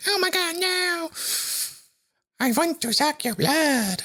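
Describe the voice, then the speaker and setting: In a put-on character voice, the speaker uses a high pitch and a playful tone at a fairly slow pace. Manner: playful, comic.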